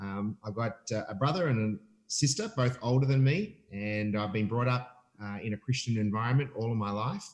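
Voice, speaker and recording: A man's medium-pitched voice with an Australian accent, at a moderate pace with ordinary pitch variation and hardly any pauses. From Australia, Melbourne. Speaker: family ministry leader. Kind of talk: casual interview.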